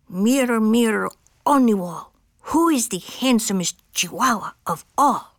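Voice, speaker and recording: A woman does a put-on character voice in a Spanish accent, fairly high in pitch and at a fairly slow pace. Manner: vain, theatrical.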